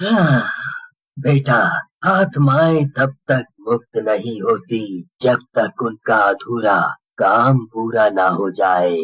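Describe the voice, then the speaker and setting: Performing a cartoonish character voice at a very slow pace, a man uses lively intonation and a medium pitch, the sound dry and close with no echo. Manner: calm, fatherly.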